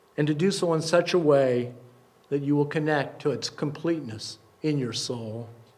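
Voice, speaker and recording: An unremarkable speaking voice, a man's at a fairly high pitch, carries ordinary pitch variation at a moderate pace. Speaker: poet and performer, congregation service speaker. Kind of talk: poetry reading at a live service. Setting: live service in a synagogue.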